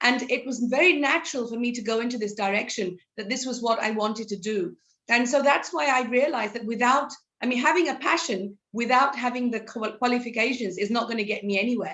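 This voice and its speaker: Spoken at a fairly quick pace, the voice shows ordinary pitch variation. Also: woman, high pitch for a woman. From South London, England. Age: 50s. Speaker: psychology counsellor. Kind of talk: interview. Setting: live online session.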